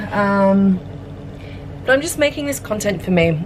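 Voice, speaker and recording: Noticeable background noise sits behind a woman speaking at a moderate pace with an Australian accent. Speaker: pottery studio manager and ceramic artist. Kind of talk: casual vlog narration. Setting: pottery studio. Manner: casual with frequent fillers. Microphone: camera without external microphone.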